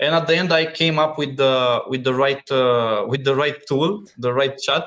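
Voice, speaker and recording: Speaking with a non-native accent, a man holds a moderate pace and very even loudness, with fairly high pitch and ordinary pitch variation. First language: not English. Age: 40s. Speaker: businessman. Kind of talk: interview. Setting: podcast. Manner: halting.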